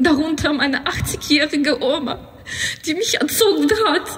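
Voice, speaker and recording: Very wide pitch swings run through a woman's speech. She talks at a very slow pace. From Ukraine. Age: 20s. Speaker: student; speaker. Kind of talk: speech at a rally. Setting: outdoor rally. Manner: emotional. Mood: emotional, urgent appeal. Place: street.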